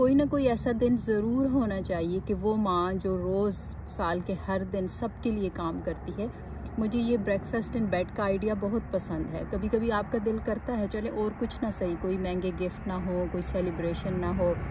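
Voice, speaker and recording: Using vocal fry, a woman with a dark, mellow tone speaks fairly slowly with ordinary pitch variation over noticeable background noise. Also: dry sound with no echo. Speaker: vlogger. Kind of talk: casual vlog chat. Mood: warm, reflective. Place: garden. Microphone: phone near.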